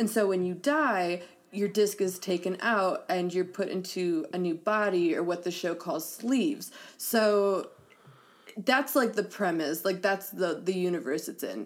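A woman talks in an ordinary speaking voice at medium pitch. Her pace is moderate and her pitch varies in an ordinary way. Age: 20s. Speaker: podcast co-host. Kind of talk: casual chat.

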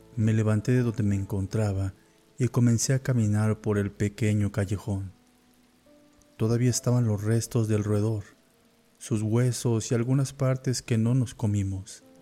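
Over music in the background, a man with a fairly low pitch speaks at a fairly slow pace in an intense, dramatic tone, with fairly even intonation and very even loudness. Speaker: horror story narrator. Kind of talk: dramatic first-person horror narration, scripted storytelling. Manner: dramatic, suspenseful, grave; slow, brooding, intense.

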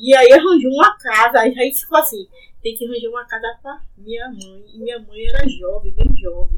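A woman speaks at a fairly quick pace in a high voice, her loudness swinging widely. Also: ordinary pitch variation. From Salvador, Bahia, Brazil (Plataforma). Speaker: local resident sharing memories. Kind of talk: conversational interview, reminiscing.

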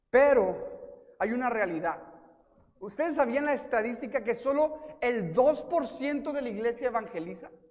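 This man talks at a fairly slow pace with an extremely high pitch. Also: lively intonation. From US-Mexico border, El Paso and Ciudad Juárez. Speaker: guest preacher. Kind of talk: sermon. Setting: church.

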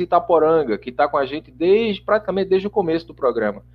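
The man's voice sits high in pitch. It moves with lively intonation. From Brazil, Paraíba (João Pessoa). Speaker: spiritist radio program producer. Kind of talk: casual interview chat.

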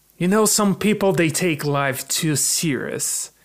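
A man with a Portuguese accent and ordinary pitch variation. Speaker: podcast co-host. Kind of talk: casual chat.

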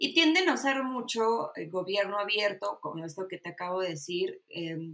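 This woman speaks with a Mexican accent at a medium pitch. Her pace is moderate and her intonation lively. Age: 30s. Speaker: political science graduate. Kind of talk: casual interview.

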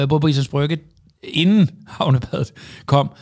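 A man's voice with fairly even intonation. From Jutland, Denmark. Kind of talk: casual interview. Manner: halting, many fillers and repetitions.

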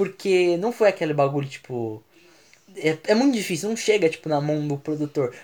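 Male speech at a moderate pace, fairly high for a man, with lively intonation. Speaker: podcast host. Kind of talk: casual chat.

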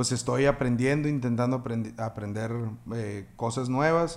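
A man talks in an ordinary speaking voice at a moderate pace and medium pitch, with ordinary pitch variation. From Mexico, Sonora (Navojoa). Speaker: music producer and audio engineer. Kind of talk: casual interview chat.

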